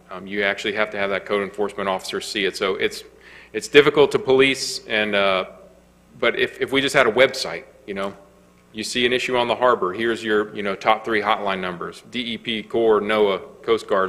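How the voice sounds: A man speaks with fairly even intonation. His pitch is fairly low. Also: fairly quick pace, fairly bright tone.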